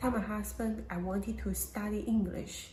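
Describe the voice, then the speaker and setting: A woman's medium-pitched voice with a Chinese accent, at a fairly slow pace, with audible room echo. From China. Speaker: domestic violence survivor. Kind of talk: testimony.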